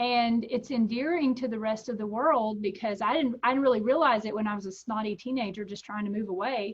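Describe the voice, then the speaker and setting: Talking at a fairly quick pace, a woman with a Texan accent uses a fairly high pitch. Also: ordinary pitch variation. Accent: Texan American English. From Texas. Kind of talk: interview. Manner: casual, with many fillers and restarts.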